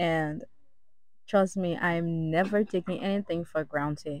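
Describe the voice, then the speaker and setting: The woman talks at a fairly slow pace with ordinary pitch variation, and the sound is dry with no echo. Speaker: vlogger. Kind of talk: casual vlog chat. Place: plane. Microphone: phone near.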